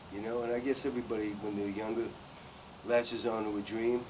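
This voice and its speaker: A man's medium-pitched voice with an American accent, monotone and flat in intonation, over noticeable background noise. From New York City. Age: 70s. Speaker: singer-songwriter. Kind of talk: interview.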